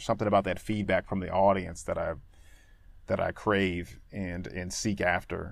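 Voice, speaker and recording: A man with an American accent speaks with a fairly low pitch, fairly even intonation and a moderate pace. It is a normal speaking voice on a very clean recording with a silent background. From Danbury, Connecticut, US. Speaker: actor and comedian. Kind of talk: casual chat.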